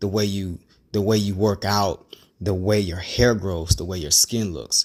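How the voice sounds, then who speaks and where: The man's intonation stays fairly even. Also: very clean recording, silent background. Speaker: hair loss video creator. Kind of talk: vlog monologue. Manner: halting.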